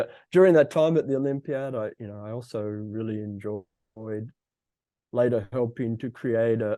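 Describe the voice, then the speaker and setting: With an Australian accent, a man at a medium pitch speaks at a moderate pace with fairly even intonation over a quiet background. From Australia, Brisbane, Queensland. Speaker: fusion physicist, executive. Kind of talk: interview.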